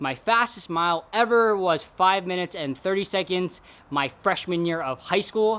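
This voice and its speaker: A bright, sharp voice with an American accent moves at a moderate pace. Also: man, high pitch for a man, ordinary pitch variation, very clean recording, silent background. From Northern California (Galt, near Sacramento). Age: 20s. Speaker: fitness vlogger. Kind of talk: casual vlog talk to camera. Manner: casual, chatty.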